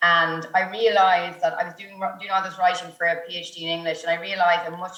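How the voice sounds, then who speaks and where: Audible room echo surrounds a woman speaking very fast in an Irish accent, her fairly low voice held in monotone, flat intonation. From Ireland, County Meath. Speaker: journalist. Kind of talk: panel discussion. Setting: video call.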